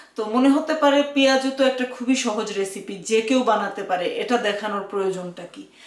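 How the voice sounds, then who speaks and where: Background noise is noticeable. Over it, a woman speaks at a fairly high pitch. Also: ordinary pitch variation. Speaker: cooking channel host. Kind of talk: cooking tutorial. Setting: home kitchen. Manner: frequent filler hesitations.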